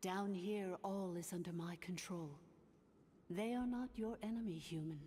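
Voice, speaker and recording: A put-on character voice, female-sounding, with a calm tone and medium pitch, over clear background noise. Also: moderate pace. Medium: video game. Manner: calm, formal.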